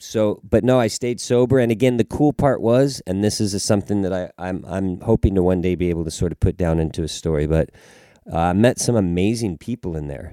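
In a Southern Californian accent, a man with a very deep, low pitch and a dark, mellow tone is heard in a very clean recording with a silent background and a dry, close sound with no echo. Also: ordinary pitch variation, fairly quick pace. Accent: Southern California American. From Los Angeles, US. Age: 50s. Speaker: touring drummer. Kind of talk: casual interview.

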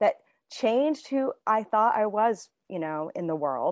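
A woman with a US Midwestern accent speaks at a fairly high pitch with very wide pitch swings. The sound is dry and close with no echo, over a quiet background. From Indiana, US Midwest. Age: 50s. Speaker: author. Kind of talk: interview.

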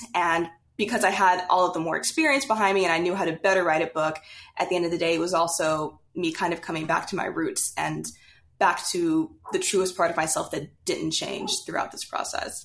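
A woman's plain, everyday voice with an American accent, fairly low in pitch, fairly quick and fairly even in intonation, on a very clean recording with a silent background. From US South, Louisiana. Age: 20s. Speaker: young adult novelist. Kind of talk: casual interview.

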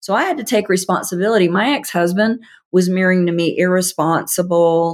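A woman with an American accent and an unremarkable speaking voice, medium pitch, ordinary pitch variation and a fairly quick pace, on a very clean recording with a silent background. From US South. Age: 50s. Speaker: author and healing coach. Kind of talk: interview.

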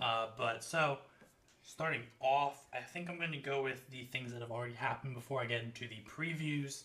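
With an American accent, a man has an ordinary speaking voice, a medium pitch and fairly even intonation, and he speaks at a moderate pace. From United States. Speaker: sports podcast co-host. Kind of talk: casual chat.

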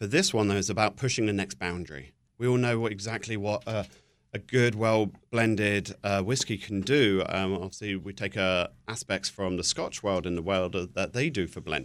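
In a very clean recording with a silent background, a man with a southern British accent talks at a moderate pace, his fairly low pitch showing ordinary variation. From southern England. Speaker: spirits company representative. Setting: studio.

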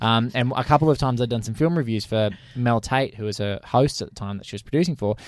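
A man with an Australian accent, medium pitch and ordinary pitch variation, talking very fast with big swings in loudness, on a very clean recording with a silent background. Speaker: podcast co-host. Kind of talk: casual chat.

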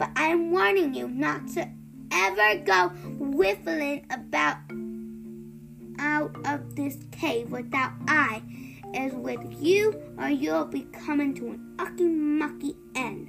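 A put-on character voice with vocal fry and a fairly bright tone, slow and with ordinary pitch variation, over faint music in the background

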